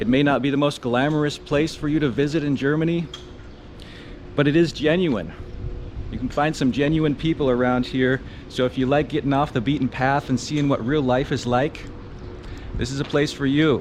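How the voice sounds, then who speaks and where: At a moderate pace with long, frequent pauses, the speaker keeps a fairly even intonation and very even loudness amid noticeable background noise. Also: man, fairly high pitch for a man. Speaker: travel vlogger. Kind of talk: travel vlog narration. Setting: outdoors and inside a cathedral.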